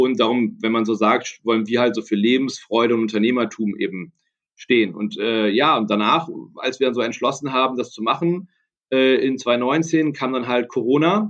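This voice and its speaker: Here a man speaks at a medium pitch. He keeps a moderate pace with ordinary pitch variation. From Düsseldorf, Germany. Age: 30s. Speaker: entrepreneur. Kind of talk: interview. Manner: hesitant with many fillers.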